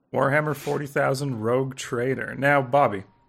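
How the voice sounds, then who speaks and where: Moderately paced, a man talks in an unremarkable speaking voice. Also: very clean recording, silent background. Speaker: podcast host. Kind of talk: casual chat.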